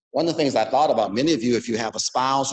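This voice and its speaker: The man speaks with ordinary pitch variation. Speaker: mental health professional. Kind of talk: talk to a club meeting. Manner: fast.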